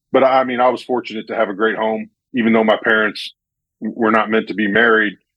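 Here a man speaks with an American accent at medium pitch. His intonation is monotone and flat. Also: fairly quick pace. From US Midwest, central Illinois. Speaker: basketball coach. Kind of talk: casual interview.

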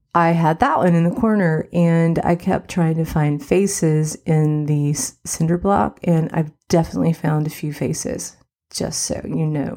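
Soft-spoken and warm in tone, this woman talks at a fairly slow pace with hardly any pauses, her pitch very deep and low. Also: ordinary pitch variation. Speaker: success coach and podcast host. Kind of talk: solo podcast monologue, casual and conversational. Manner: soft-spoken, quiet; warm, chatty, laughs often.

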